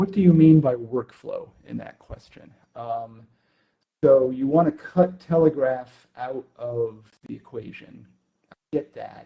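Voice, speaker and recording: A man speaks at a fairly slow pace with a fairly high pitch and ordinary pitch variation. His voice is somewhat breathy, with big swings in loudness. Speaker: conference speaker answering questions. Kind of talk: live Q&A. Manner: hesitant, many fillers; quiet.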